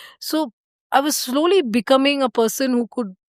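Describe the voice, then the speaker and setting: Speaking in a South Indian accent, a woman uses a high pitch at a moderate pace, recorded dry and close with no echo. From India, Karnataka (small mining town near Bangalore). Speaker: organisational change and systems designer. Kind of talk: podcast interview, casual conversation. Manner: hesitant, frequent fillers and restarts.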